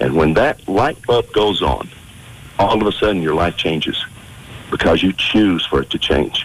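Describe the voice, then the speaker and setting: Against noticeable background noise, a man with a very deep, low pitch uses lively intonation at a moderate pace. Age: 60s. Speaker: aging and fitness expert. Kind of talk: radio talk show interview.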